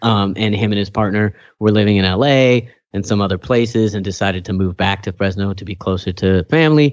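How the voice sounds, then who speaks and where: Against a quiet background, a man with an ordinary speaking voice and an American accent talks at a fairly quick pace with ordinary pitch variation. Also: fairly low pitch for a man. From California Central Valley, Kingsburg. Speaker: podcast host. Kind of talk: casual chat.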